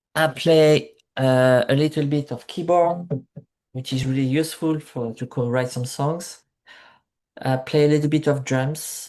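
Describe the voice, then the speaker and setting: A man with a French accent speaks at a moderate pace. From France, Marseille (south of France). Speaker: musician. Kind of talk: interview. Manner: halting, many fillers.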